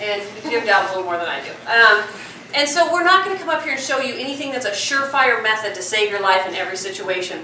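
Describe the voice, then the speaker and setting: A woman talks very fast at a fairly high pitch, with very wide pitch swings. Audible room echo and noticeable background noise surround her. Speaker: police detective. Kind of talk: public safety talk. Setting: talk with live audience and microphone. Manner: loud.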